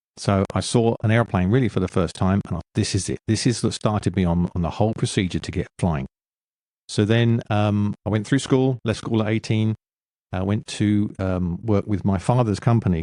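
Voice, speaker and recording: A man with an English accent and a dark, mellow tone at a fairly low pitch and moderate pace, on a very clean recording with a silent background and a dry, close sound with no echo. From London, England. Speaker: former military pilot and author. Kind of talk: interview.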